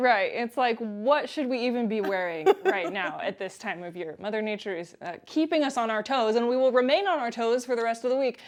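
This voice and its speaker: With a plain, everyday voice, a woman talks at a fairly quick pace with hardly any pauses, her fairly high pitch carried by lively intonation. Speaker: multimedia journalist, news anchor and weather forecaster. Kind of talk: TV news anchor and field reporting.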